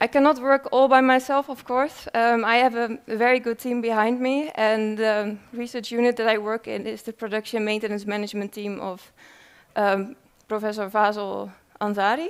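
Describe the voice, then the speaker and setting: This woman's voice sits fairly high in pitch, with fairly even intonation. She moves at a moderate pace. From Netherlands. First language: Dutch. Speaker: researcher. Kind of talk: conference presentation. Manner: hesitant, many fillers.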